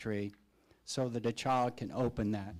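In a normal speaking voice, someone talks at a moderate pace with fairly even intonation on a very clean recording with a silent background. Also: man. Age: 60s. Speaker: school board member. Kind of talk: public meeting remarks. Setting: board meeting.

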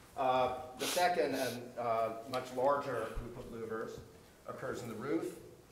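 A man talks fairly slowly, with light background noise and audible room echo in the recording. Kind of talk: presentation to a hearing panel. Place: meeting room.

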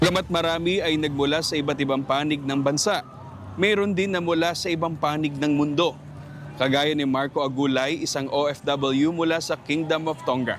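A man speaks at a moderate pace with a fairly high pitch and fairly even intonation, over noticeable background noise. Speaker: news reporter. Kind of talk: scripted news report voiceover. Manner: formal, measured news delivery.

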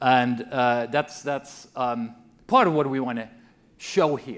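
The pace of this man's speech is moderate. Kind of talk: opening keynote speech. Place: hall. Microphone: podium.

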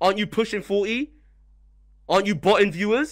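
A man speaks in an angry tone at a high pitch. The background is quiet. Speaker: streamer restreaming and reacting. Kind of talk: heated rant during live stream. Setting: live stream. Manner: angry, ranting, insulting. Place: home room. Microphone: studio mic.

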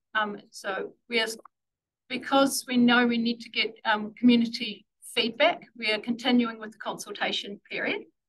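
A woman with a New Zealand accent speaks at a moderate pace in a fairly high pitch. Her intonation is fairly even, though her loudness swings widely. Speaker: council transport planning staff. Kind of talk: formal presentation to a board.

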